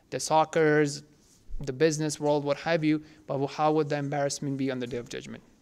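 A man speaks at a fairly quick pace in a monotone, flat intonation. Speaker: religious teacher, coach. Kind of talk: lecture. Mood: calm, earnest. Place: studio.

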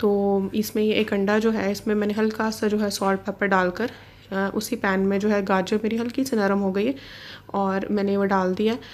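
Her loudness stays very even as this woman talks at a moderate pace in a monotone, flat intonation. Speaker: vlogger; home cooking vlogger. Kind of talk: cooking vlog narration. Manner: casual, hesitant fillers. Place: kitchen.

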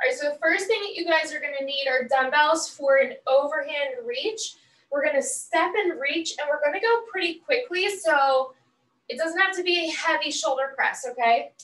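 Audible room echo surrounds a woman speaking at a moderate pace in a high voice, her loudness swinging widely. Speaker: fitness instructor. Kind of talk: workout class instruction. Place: home room. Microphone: camera far.

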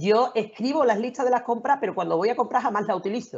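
A woman is speaking. Her words come out very fast. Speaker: lawyer, panel regular. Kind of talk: casual panel discussion.

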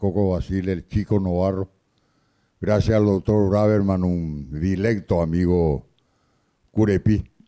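Low in pitch, a man talks in a dark, mellow tone with fairly even intonation.

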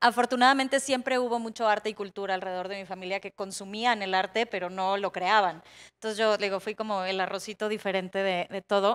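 Against a quiet background, a woman talks with fairly even intonation and hardly any pauses. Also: fairly quick pace. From Mexico, Ensenada, Baja California; Baja California, Mexico. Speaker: interior designer; panelist. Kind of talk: panel talk. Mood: lighthearted, smiling. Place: stage. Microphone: handheld.

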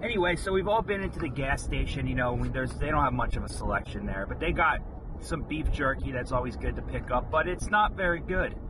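A man at a fairly quick pace, dry sound with no echo, noticeable background noise. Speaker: vlogger reviewing a snack. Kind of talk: casual vlog chat. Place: car. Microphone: camera far.

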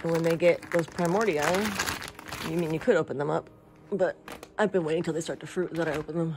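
The pace is fairly quick, broken by long, frequent pauses, over noticeable background noise. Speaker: mushroom grower. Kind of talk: casual talk to camera. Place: home room. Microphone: phone near.

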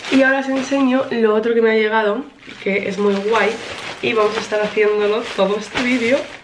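Noticeable background noise surrounds this clip. A woman speaks with ordinary pitch variation. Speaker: vlogger. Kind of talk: casual vlog chat. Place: home room. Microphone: camera far.

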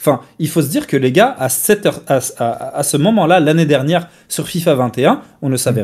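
A man's plain, everyday voice, fairly high in pitch, with lively intonation at a fairly quick pace over a quiet background. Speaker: gaming commentator. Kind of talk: casual live-stream debate. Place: home room.

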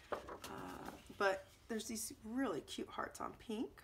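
A woman speaks at a very slow pace in a strained, fairly high voice with vocal fry, over light background noise. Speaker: scrapbooking video creator; crafter reviewing a kit. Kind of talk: product unboxing. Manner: casual, halting with ums; restrained to avoid coughing. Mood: relaxed, mildly enthusiastic.

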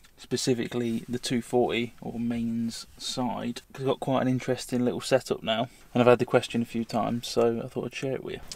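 Fairly quick, monotone delivery with flat intonation and a dry sound with no echo. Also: man. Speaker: van-life vlogger. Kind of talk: casual tutorial vlog. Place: car. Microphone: phone near.

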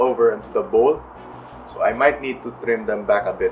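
A man speaks at a fairly quick pace. There is light background noise. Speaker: home gardener vlogger. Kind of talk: casual garden tour narration.

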